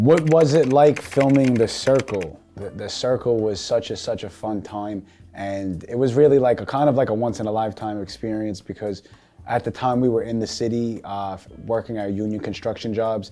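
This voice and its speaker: With a dark, mellow tone, a man speaks with ordinary pitch variation and big swings in loudness. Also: medium pitch for a man, moderate pace. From Staten Island, New York. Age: 20s. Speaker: reality show contestant. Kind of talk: interview answers.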